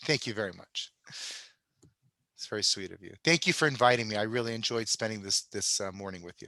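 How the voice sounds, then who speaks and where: A man with an American accent talks at a very fast pace in a fairly low, bright, sharp voice with ordinary pitch variation. He leaves long, frequent pauses, his loudness swings widely, and the background is quiet. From New York. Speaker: homeopath, presenter. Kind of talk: webinar closing remarks.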